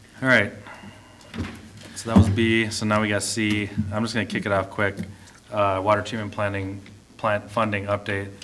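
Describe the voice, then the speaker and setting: With an American accent and a fairly low pitch, a man talks at a moderate pace in a flat monotone, with long, frequent pauses, audible room echo and noticeable background noise. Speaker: mayor. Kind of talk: city council meeting discussion. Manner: relaxed, laid-back; casual, conversational.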